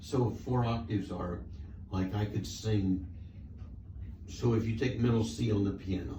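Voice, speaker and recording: Amid audible room echo, a man with a fairly low pitch and ordinary pitch variation speaks at a fairly slow pace, with long, frequent pauses. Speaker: patient. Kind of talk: casual chat.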